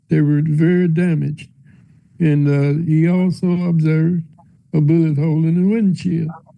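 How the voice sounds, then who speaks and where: A man's fairly high voice in a monotone, flat intonation, its loudness very even. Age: old. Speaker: former Secret Service agent. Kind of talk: congressional hearing testimony. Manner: slow, hesitant.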